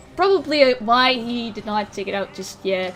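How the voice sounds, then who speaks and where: A woman with a non-native accent speaks at a fairly high pitch with ordinary pitch variation. Noticeable background noise is present. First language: not English. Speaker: esports commentator. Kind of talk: live commentary.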